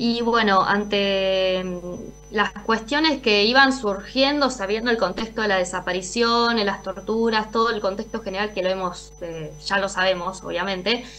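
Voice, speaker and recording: A woman at a fairly slow pace with ordinary pitch variation, over light background noise. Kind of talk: interview answer. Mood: serious, earnest. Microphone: video call.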